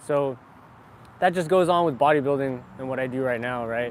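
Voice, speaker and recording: A man speaks with an American accent at a moderate pace. His pitch is fairly high, with ordinary variation. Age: 20s. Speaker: fitness vlogger. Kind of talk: live stream chat. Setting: live stream on camera. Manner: casual, filler-heavy.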